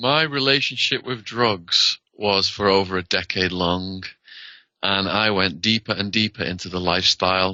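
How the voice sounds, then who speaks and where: With a British accent, a man speaks at a moderate pace in a fairly low pitch, with ordinary pitch variation. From northern England. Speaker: former prisoner, author. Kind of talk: interview.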